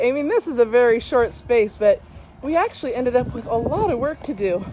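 A woman talks at a fairly quick pace. There is light background noise. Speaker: homeowner DIY vlogger. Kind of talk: casual vlog chat. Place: garden. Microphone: phone near.

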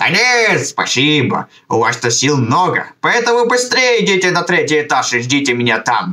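A man puts on a cartoonish character voice, high for a man, with very wide pitch swings. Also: moderate pace. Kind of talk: put-on elderly voice. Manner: grumbling, warm.

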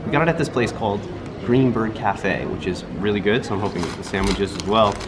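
Clear music plays behind a man talking at a fairly quick pace. His pitch varies in an ordinary way. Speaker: travel food vlogger. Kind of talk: casual vlog chat. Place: street. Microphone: phone near.

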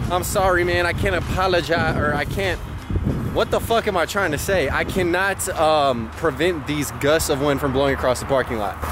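With music playing in the background, the speech moves at a moderate pace in a dry sound with no echo. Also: man. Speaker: thrift vlogger. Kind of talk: casual vlog chat. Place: street. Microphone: phone near.

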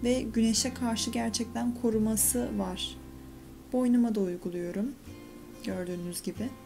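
Clear music plays in the background as a woman speaks at a fairly slow pace. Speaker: beauty vlogger. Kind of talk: casual tutorial vlog chat. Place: bathroom. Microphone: phone near.

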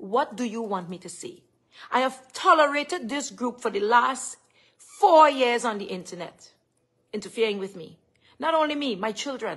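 A woman with a Trinidadian accent, high-pitched and animated, at a moderate pace with very wide pitch swings over a quiet background. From Trinidad and Tobago. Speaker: live streamer. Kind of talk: live stream rant. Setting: live stream at home. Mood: upset, indignant. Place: home room. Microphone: phone near.

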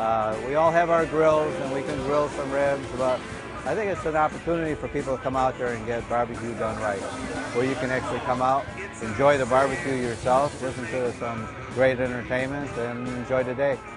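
A man talking at a fairly quick pace, dry sound with no echo, and clear music in the background. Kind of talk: interview answer. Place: street. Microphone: lapel.

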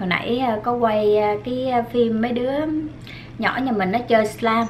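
Over light background noise, a woman speaks at a fairly slow pace. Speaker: food vlogger. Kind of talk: casual vlog chat while eating. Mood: relaxed, chatty, some laughs. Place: home room.

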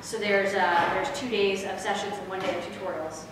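Noticeable background noise and strong room echo surround a woman talking at a fairly quick pace with ordinary pitch variation. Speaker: conference presenter. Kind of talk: lecture. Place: hall. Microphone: camera far.

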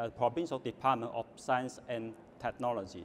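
Over light background noise, a man talks at a moderate pace with a Chinese accent. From Guangdong, southern China. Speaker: government official; panellist. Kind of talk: panel talk. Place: hall. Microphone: lapel.

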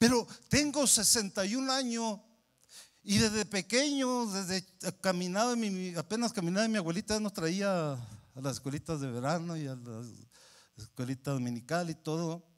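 Against a quiet background, a man speaks at a moderate pace. His pitch swings very widely, and he takes long, frequent pauses. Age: 60s. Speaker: pastor. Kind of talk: sermon. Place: church. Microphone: handheld.

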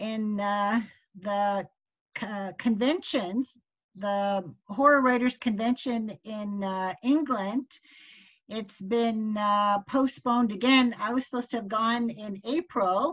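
Somewhat breathy speech at a very slow pace, with ordinary pitch variation and a quiet background. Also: woman. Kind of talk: casual group meeting chat. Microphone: video call.

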